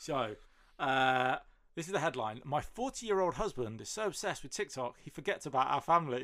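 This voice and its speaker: A bright, sharp tone in a British accent. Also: man, fairly high pitch for a man, lively intonation, fairly quick pace. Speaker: podcast guest. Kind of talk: casual chat.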